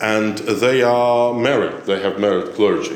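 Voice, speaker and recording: In a Ukrainian accent, the speech comes at a fairly slow pace with audible room echo and noticeable background noise. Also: man. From Ukraine. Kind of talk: recorded talk on theology. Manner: halting, with filler sounds.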